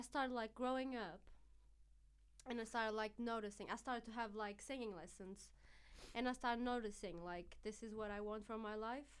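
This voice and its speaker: Fairly high woman's voice with a Portuguese accent, moderate in pace, with ordinary pitch variation. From Portugal. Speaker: singer. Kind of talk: casual chat.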